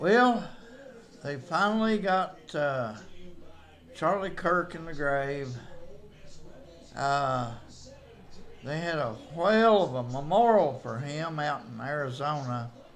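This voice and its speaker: A man with a Southern Appalachian accent talks at a very slow pace in a fairly high pitch, with lively intonation and long, frequent pauses. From East Tennessee. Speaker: amateur historian. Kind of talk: casual commentary to camera.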